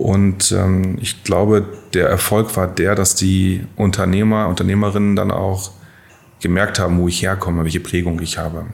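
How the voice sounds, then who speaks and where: Audible room echo surrounds this recording. A man with a very deep, low pitch speaks in a flat monotone. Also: moderate pace. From northern Germany, near Bremen. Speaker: bank executive. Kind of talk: interview. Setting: studio.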